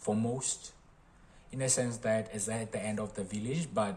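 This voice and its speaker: A man speaks at a fairly slow pace with a medium pitch. His intonation stays fairly even. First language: not English. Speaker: engineering college alumnus. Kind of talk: casual talk to camera.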